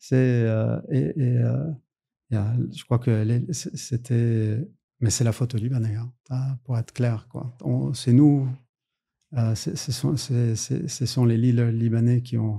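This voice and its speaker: Speech with a dark, mellow, somewhat breathy tone and ordinary pitch variation comes at a very slow pace, broken by long, frequent pauses. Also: man, medium pitch for a man. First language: English (formal education in English) (speaking French). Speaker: lawyer. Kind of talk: podcast interview. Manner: halting, many hesitations.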